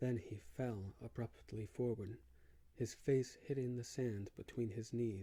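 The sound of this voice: The voice reads in an unforced way. It is a reading voice.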